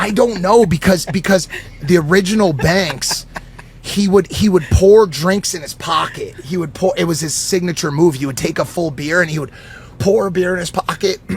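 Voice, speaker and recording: A man with a high voice speaks at a moderate pace in an animated tone, with ordinary pitch variation and noticeable background noise. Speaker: podcast guest. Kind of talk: casual chat.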